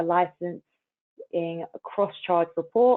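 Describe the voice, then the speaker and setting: With a British accent, a woman speaks at a fairly low pitch and a fairly even intonation. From United Kingdom. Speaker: customer marketing coordinator. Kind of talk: webinar hosting.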